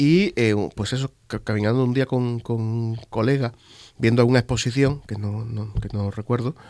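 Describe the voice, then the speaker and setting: A man speaks with a Sevillian accent and fairly even intonation. The recording is very clean, with a silent background. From Spain, Andalusia (Seville province, Marchena). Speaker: exhibition curator. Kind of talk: interview conversation. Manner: halting, many fillers and repetitions.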